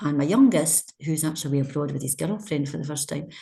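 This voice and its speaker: Somewhat breathy and dark, mellow in tone, this voice rushes along at a very fast pace in a Scottish accent. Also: woman. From Scotland. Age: 60s. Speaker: charity leader. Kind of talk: interview.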